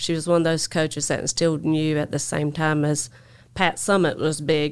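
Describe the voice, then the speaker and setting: In a very clean recording with a silent background, a woman with a Southern US accent talks at a fairly quick pace in a very deep, low pitch. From US South, North Carolina. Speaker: construction equipment dealer general manager. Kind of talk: casual interview chat. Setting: studio.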